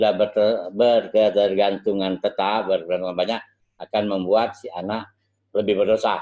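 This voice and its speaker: With a normal speaking voice, a man talks at a moderate pace, his fairly low pitch held in fairly even intonation. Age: 60s. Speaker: medical lecturer. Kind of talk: lecture.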